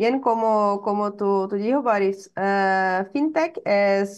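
A woman talks at a very slow pace with a quiet background behind her. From Brazil, small town in Paraná. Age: 20s. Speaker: venture capital executive; panelist. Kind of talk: interview. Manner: halting, frequent fillers and self-corrections. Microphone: webcam.

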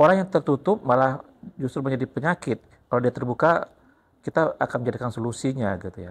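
Talking at a very fast pace, a man uses lively intonation at a medium pitch. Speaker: teacher and interviewer. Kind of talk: casual interview. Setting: school library. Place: studio. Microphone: lapel.

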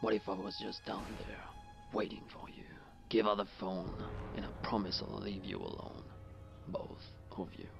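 Whispering with big swings in loudness, a man leaves long, frequent pauses. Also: moderate pace. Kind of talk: horror film acting. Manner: menacing, mocking.

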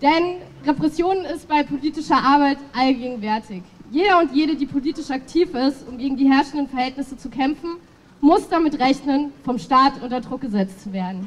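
This woman has a high pitch with ordinary variation. She talks at a moderate pace. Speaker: speaker. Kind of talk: political rally speech. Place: street.

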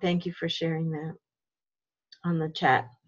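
A woman with a somewhat breathy, fairly low voice. The background is quiet. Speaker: religious education facilitator. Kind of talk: video call workshop facilitation. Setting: video call. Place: home room. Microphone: video call.

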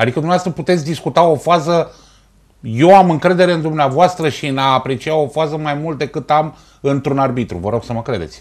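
The man's fairly high-pitched voice, with ordinary pitch variation, moves at a fairly quick pace against a quiet background. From Romania, Ploiești; Romania. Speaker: sports TV host. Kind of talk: TV talk show interview. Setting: TV studio. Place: studio.

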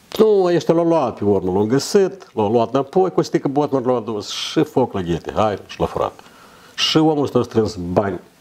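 The voice moves at a moderate pace, with very wide swings in pitch. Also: man. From Moldova. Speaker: guest or co-host. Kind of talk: casual chat. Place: studio.

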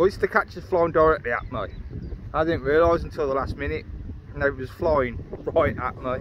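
Loud background noise surrounds a man talking at a moderate pace, his sound dry with no echo. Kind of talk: casual vlog chat. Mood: mildly disappointed, upbeat. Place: waterside. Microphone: phone near.

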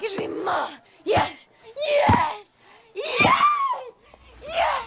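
A put-on character voice shouts loudly. The pitch sits extremely high. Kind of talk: comic parody of romantic film scene. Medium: fan dub. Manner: seductive, breathy, theatrical, escalating to ecstatic cries.

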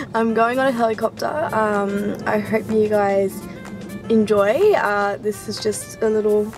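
A woman at a fairly slow pace, dry sound with no echo, clear music in the background. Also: fairly even intonation. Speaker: vlogger. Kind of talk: casual vlog chat. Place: car. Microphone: phone near.

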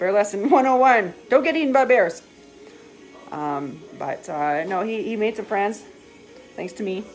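A woman at a fairly slow pace with big swings in loudness, faint music in the background. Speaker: vlogger. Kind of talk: casual vlog chat. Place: home room. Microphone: phone near.

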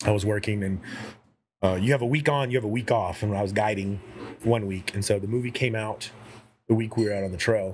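In an American accent, a man with a fairly low pitch talks at a very fast pace, with long, frequent pauses, fairly even intonation and light background noise. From Houston, Texas. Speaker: artist and game creator; podcast guest or host. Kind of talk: casual chat. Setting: brewery. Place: home room.

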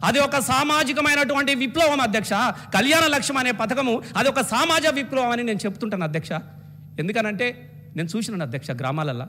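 A man's raised, projected voice rings out at an extremely high pitch. His intonation is lively. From Telangana, India. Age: 50s. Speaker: state legislator. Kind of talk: legislative assembly speech. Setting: state legislative assembly. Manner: impassioned oratory. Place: hall. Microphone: podium.

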